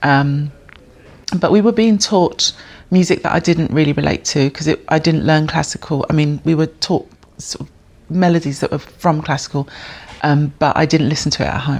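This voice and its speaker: A woman with a London accent speaks in a very deep, low voice. Her intonation stays fairly even at a moderate pace. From North London, England. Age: 50s. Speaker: bass player and music educator. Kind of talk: interview. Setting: jazz centre venue. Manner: hesitant, many fillers.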